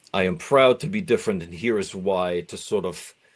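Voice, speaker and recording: A man with a German accent, fairly even intonation, and a quiet background. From East Germany (East Berlin). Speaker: doctoral candidate and musician. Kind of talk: podcast interview. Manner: reflective, with many fillers.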